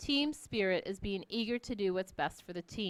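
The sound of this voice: Simply an unforced reading voice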